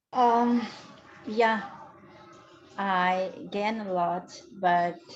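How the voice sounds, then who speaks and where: Her pitch varies in an ordinary way as a woman talks with a non-native accent. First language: not English. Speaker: club guest. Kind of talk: casual club meeting chat. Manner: halting.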